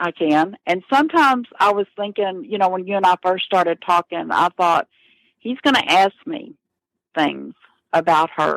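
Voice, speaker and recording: A woman with an American accent and an unremarkable speaking voice, medium in pitch with lively intonation, at a moderate pace, the sound dry and close with no echo in a very clean recording with a silent background. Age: 60s. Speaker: murder victim's sister. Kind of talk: interview.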